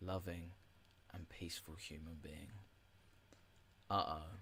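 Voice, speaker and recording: A soft-spoken, bright, sharp tone with monotone, flat intonation at a very slow pace. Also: man. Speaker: podcast host. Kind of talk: reading aloud.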